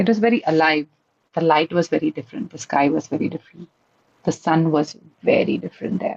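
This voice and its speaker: A woman talks at a very fast pace in a fairly low voice with ordinary pitch variation. The sound is dry and close, with no echo. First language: an Indian language. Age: 30s. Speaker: community member. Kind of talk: podcast interview. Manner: halting, with fillers and restarts.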